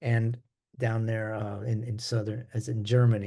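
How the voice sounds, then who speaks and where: Somewhat breathy and dark, mellow in tone, a man speaks at a fairly slow pace. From US Midwest. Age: 70s. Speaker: jazz bassist. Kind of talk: interview.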